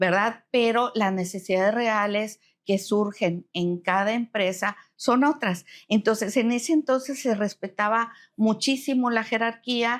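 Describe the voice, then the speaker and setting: A woman with a normal speaking voice talks fairly slowly at a fairly high pitch, with ordinary pitch variation and very even loudness, on a very clean recording with a silent background. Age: 60s. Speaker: retired human resources professional. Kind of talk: interview conversation.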